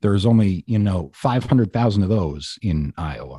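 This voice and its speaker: A man with an American accent, fairly low in pitch, with a dark, mellow tone and lively intonation, at a moderate pace, in a dry, close recording with no echo against a quiet background. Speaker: radio host and true-crime podcaster. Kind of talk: casual interview chat.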